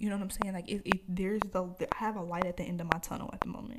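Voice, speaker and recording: Noticeable background noise sits behind a woman at medium pitch. She speaks very fast in a flat monotone. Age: 20s. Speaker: podcaster. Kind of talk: solo rant, casual podcast monologue, unscripted, venting to listeners. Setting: home recording with microphone. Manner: rambling, heated and frustrated, informal, with filler words; stuttery, unplanned, repeats words.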